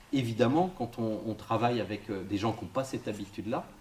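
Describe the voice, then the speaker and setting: A man at medium pitch, with audible room echo. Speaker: psychosociologist giving a talk. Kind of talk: interactive lecture. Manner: fast; casual, halting with fillers.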